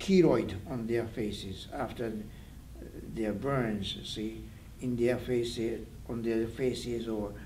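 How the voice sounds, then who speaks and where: A man speaks very slowly with long, frequent pauses, his somewhat breathy voice dark and mellow in tone. Audible room echo surrounds the sound. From Japan, Hiroshima. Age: 80s+. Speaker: atomic bomb survivor. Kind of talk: interview testimony. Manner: halting.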